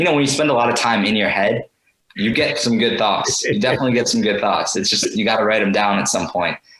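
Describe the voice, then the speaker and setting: Talking at a very fast clip, a man keeps his loudness very even while his pitch varies in an ordinary way. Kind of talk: podcast interview.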